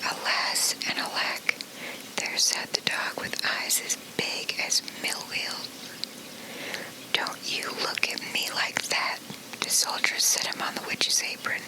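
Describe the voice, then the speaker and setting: Someone whispers very slowly, with long, frequent pauses, as noticeable background noise continues. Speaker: ASMR storyteller. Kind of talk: read-aloud fairy tale. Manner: whispered.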